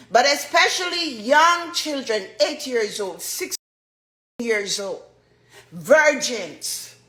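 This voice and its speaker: Projecting her raised voice at a high pitch, a woman speaks very slowly with very wide pitch swings, big swings in loudness and long, frequent pauses, and the room echo is audible. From Jamaica. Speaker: dancehall artist. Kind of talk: testimony.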